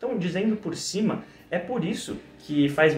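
A man talks at a moderate pace, and audible room echo follows his voice. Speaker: diet educator. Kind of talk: educational talk to camera.

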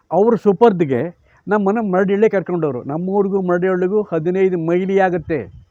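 Against a quiet background, a man speaks in a high pitch with a dark, mellow tone and ordinary pitch variation. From India, Karnataka, Chitradurga district (Hiriyur taluk village). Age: 80s+. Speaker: veteran journalist and writer. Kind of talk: life-story interview.

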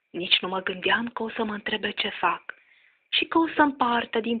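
In a normal speaking voice, a woman speaks at a fairly slow pace with a fairly high pitch and lively intonation. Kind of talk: poetry reading.

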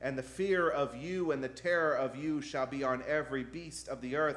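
The man's intonation stays fairly even. He speaks at a fairly slow pace. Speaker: pastor. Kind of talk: sermon scripture reading. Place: church. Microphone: podium.

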